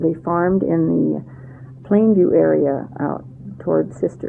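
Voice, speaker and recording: Noticeable background noise accompanies a woman talking fairly slowly. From Central Oregon, US. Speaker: oral history interviewee. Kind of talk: oral history interview. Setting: interview at her home. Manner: halting, with many fillers.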